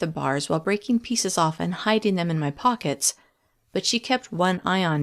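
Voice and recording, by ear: Lively intonation colors this reading aloud in a natural voice over a quiet background.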